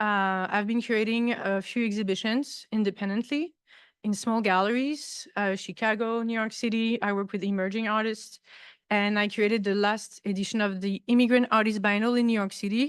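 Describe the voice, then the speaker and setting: A woman's fairly high voice with a French accent, fairly quick in pace and fairly even in intonation. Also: quiet background. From France, Paris. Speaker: artist and visiting professor. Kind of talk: lecture.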